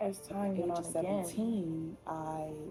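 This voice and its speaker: With music in the background, a woman speaks with a very deep, low pitch and fairly even intonation. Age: 20s. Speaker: content creator. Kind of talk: podcast, personal story told to camera. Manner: casual, hesitant, many fillers.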